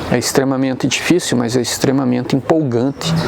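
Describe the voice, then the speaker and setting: A fairly quick delivery against noticeable background noise. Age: 60s. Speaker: science explainer. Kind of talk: educational explanation on location. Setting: outdoors at crater viewpoint. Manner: measured, with hesitations.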